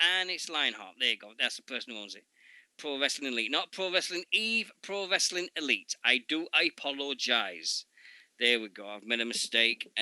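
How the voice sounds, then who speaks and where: Bright and sharp in tone, the voice has a Yorkshire accent, very wide pitch swings, big swings in loudness and a moderate pace, with a dry, close sound and no echo. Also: man, fairly high pitch for a man. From Yorkshire, England.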